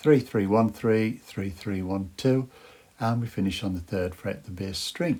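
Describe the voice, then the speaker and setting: A man's dark, mellow tone comes through with ordinary pitch variation. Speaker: guitar teacher. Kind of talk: tutorial. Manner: hesitant, many fillers.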